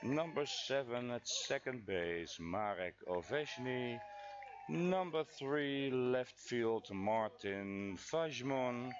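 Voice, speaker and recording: Noticeable background noise sits behind a man speaking at a very slow pace. His medium pitch carries lively intonation. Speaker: baseball commentator. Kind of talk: live sports commentary. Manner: halting, with filler words.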